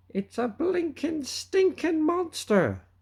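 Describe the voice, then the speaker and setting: A put-on character voice, high-pitched and shrill. It moves at a very slow pace. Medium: read story. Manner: loud, coarse pirate slang.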